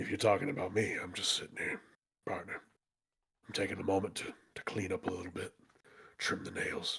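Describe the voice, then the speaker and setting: A man's raspy, fairly low put-on character voice at a fairly quick pace, broken by long, frequent pauses. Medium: actual play. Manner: folksy, calls people partner.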